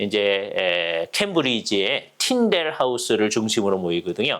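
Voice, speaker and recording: Very wide pitch swings mark a man's fairly slow speech. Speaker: theology professor. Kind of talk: lecture. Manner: conversational with fillers.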